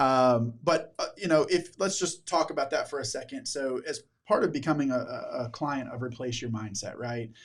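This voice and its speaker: This man's voice is somewhat breathy and fairly high in pitch. He uses lively intonation at a moderate pace. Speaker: podcast host. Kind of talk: casual interview chat. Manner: halting, many fillers and restarts.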